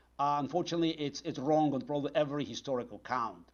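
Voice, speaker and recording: With a Russian accent, a man speaks at a fairly high pitch with ordinary pitch variation. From former Soviet Union (Azerbaijan, then Moscow). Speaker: political analyst. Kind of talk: TV interview answering a caller. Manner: halting, many fillers.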